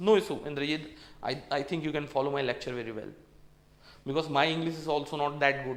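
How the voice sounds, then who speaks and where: Someone with an Indian accent speaks at a very fast pace and fairly even intonation, with audible room echo and noticeable background noise. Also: man. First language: Hindi. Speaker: engineering exam tutor. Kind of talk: lecture. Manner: repetitive.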